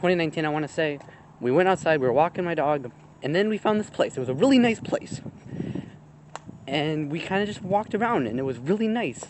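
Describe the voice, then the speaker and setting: The speech races at a very fast pace but stops for long, frequent pauses. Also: man, fairly high pitch for a man. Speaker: vlogger. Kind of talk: casual vlog talk. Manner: rambling, hesitant.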